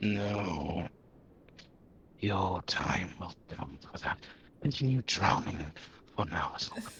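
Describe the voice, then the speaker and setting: A man puts on a character voice with a very deep, low pitch. He speaks at a fairly slow pace with long, frequent pauses. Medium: actual play. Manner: calm, coaxing, enigmatic.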